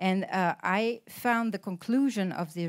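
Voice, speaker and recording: Speaking fairly slowly with a French accent, a woman with a medium-pitched voice shows ordinary pitch variation in a very clean recording with a silent background. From France. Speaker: politician. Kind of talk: panel talk. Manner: halting with many fillers.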